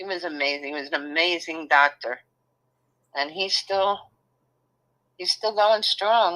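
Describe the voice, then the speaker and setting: A woman with a Brooklyn accent speaks at a fairly slow pace, with long, frequent pauses and big swings in loudness. Her fairly low pitch varies in an ordinary way, and her tone is bright and sharp. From New York City (Brooklyn). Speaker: channel host's mother. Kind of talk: casual chat.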